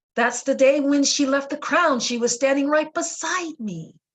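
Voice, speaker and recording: A woman with an American accent, fairly slow pace and ordinary pitch variation. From Boston, Dorchester. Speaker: spiritual teacher. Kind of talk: talk to a support group.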